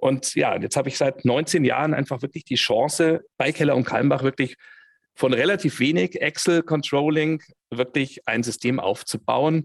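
A man's plain, everyday voice, fairly high in pitch, with ordinary pitch variation, a moderate pace, and a dry, close sound with no echo. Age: 50s. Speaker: head of controlling and business intelligence. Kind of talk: interview.

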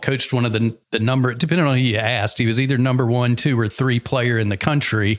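A man with an American accent speaks at medium pitch with fairly even intonation, in a plain, everyday voice. The recording is very clean, with a silent background. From US South. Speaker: entrepreneur and business coach. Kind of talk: interview conversation.

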